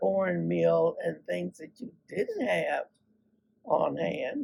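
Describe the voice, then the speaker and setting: A woman is speaking. She goes at a very slow pace. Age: 80s+. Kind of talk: reminiscing storytelling to camera. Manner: hesitant, halting.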